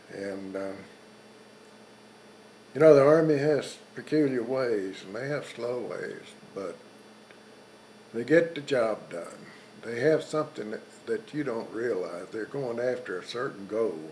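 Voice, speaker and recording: With a Texan accent, a man at medium pitch speaks at a fairly slow pace with ordinary pitch variation and long, frequent pauses. Noticeable background noise sits behind his voice, which shows big swings in loudness. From South Texas. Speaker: World War II veteran and rancher. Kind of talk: interview answer.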